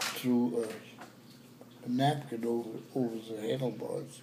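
Someone with an American accent talks at a very slow pace over noticeable background noise. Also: man. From New York. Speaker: grandfather. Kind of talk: family storytelling. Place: home room. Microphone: phone near.

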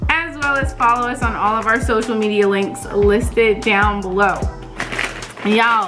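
The speech moves at a moderate pace with ordinary pitch variation. Music plays clearly in the background. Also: woman. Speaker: family channel vlogger. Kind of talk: casual vlog chat. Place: home room.

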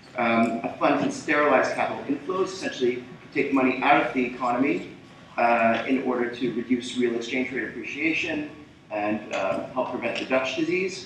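A man speaks at a moderate pace with a medium pitch and ordinary pitch variation. Audible room echo and light background noise accompany his voice. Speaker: policy researcher. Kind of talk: panel presentation. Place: hall. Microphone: camera far.

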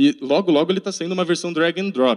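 Against a quiet background, a man with a fairly high pitch talks with lively intonation. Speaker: conference speaker, web developer; conference presenter. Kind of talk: tech talk. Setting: conference room with audience. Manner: fast. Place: classroom. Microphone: handheld.

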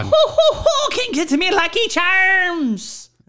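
A put-on character voice sits at an extremely high pitch with very wide pitch swings. The delivery moves at a fairly slow pace. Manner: jokey, mocking.

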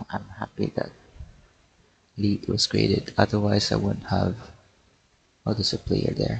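The soft-spoken delivery moves at a moderate pace, broken by long, frequent pauses. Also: man. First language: not English. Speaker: gaming YouTuber. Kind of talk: casual gameplay commentary. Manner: quiet, soft-spoken.

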